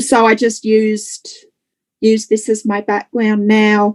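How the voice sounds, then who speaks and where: Speaking in an Australian accent, a woman talks at a fairly slow pace with a fairly high pitch. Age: 30s. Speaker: interviewee with exceptional memory. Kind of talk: casual interview.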